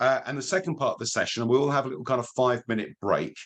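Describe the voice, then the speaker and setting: There is vocal fry in this man's medium-pitched voice. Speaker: digital marketing trainer. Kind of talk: webinar lecture.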